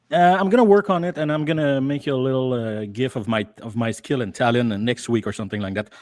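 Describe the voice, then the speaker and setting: With lively intonation and hardly any pauses, a man speaks at a very fast pace. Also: medium pitch for a man. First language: French. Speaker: YouTube commentator. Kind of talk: casual chat. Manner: halting.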